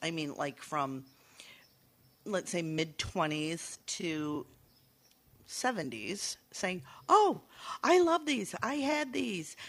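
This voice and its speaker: With an American accent, a woman speaks at a fairly low pitch that swings very widely. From Saugatuck, Michigan. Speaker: bookshop owner, guest co-host. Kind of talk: casual chat.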